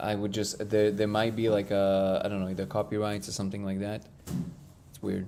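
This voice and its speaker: The man talks at a fairly quick pace in a monotone, flat delivery with a dark, mellow tone and big swings in loudness. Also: fairly low pitch for a man. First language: not English. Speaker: live stream host. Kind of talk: casual live stream chat. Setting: live stream.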